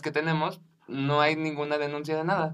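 An unremarkable speaking voice from a man, fairly high in pitch and fairly quick in pace. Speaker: podcast co-host. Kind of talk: casual chat.

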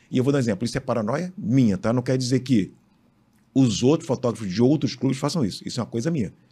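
Somewhat breathy and dark, mellow in tone, the voice moves at a very fast pace with ordinary pitch variation on a very clean recording with a silent background. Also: man, medium pitch for a man. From Rio de Janeiro, Brazil. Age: 50s. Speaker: sports photographer. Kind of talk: interview. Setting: studio.

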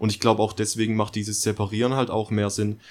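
Over a very clean recording with a silent background, a man talks at a fairly quick pace. His fairly low voice has a monotone, flat intonation. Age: 20s. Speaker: podcast co-host. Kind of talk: casual chat.

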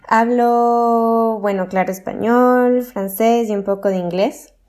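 A woman talks with fairly even intonation. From Ecuador, Quito. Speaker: geographer. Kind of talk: interview. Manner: hesitant with fillers.

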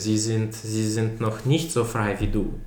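Fairly even intonation from a man, plus audible room echo. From mixed: Belarus, with childhood in USA, Italy, Germany. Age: 20s. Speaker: business student and startup founder. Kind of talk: casual interview. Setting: in a flat, in person. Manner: hesitant, many filler sounds.

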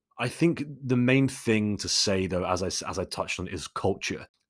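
A man with a London accent at a fairly quick pace, on a very clean recording with a silent background. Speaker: podcast host. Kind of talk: Q&A monologue. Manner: casual, chatty.

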